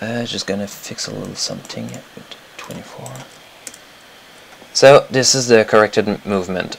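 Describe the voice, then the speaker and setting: A man with a French accent speaks at a moderate pace in a fairly low pitch, with lively intonation and big swings in loudness. He takes long, frequent pauses over noticeable background noise. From Quebec. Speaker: animator. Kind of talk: tutorial. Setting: live stream. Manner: halting.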